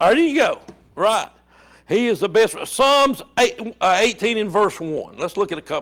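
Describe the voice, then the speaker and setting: Speaking with an Alabama accent, a man has a high-pitched voice and lively intonation. He talks at a fairly slow pace on a very clean recording with a silent background. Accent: Southern US (Alabama). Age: 70s. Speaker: Bible study teacher. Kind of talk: Bible study lesson. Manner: conversational, repetitive.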